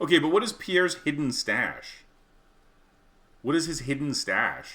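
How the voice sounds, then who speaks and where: A man with a Canadian accent speaks with vocal fry. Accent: Canadian, may sound American to outsiders. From Canada. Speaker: video game streamer. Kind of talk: casual live-stream chat while gaming. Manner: rambling, halting with frequent fillers.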